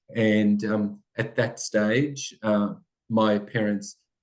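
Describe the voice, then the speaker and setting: With an Australian accent, a man speaks at a fairly low pitch in monotone, flat intonation. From Australia, Italian-speaking family. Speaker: school principal. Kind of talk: interview.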